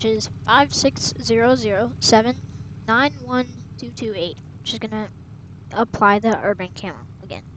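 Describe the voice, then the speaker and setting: Noticeable background noise sits behind a woman speaking at a medium pitch and a moderate pace. Her voice shows very wide pitch swings and big swings in loudness. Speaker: gaming tutorial youtuber. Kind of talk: tutorial.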